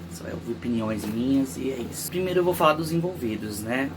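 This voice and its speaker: A soft-spoken man talks at a moderate pace and medium pitch, his pitch swinging very widely. Room echo is audible, and background noise is noticeable. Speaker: YouTuber. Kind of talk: true crime commentary. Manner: casual.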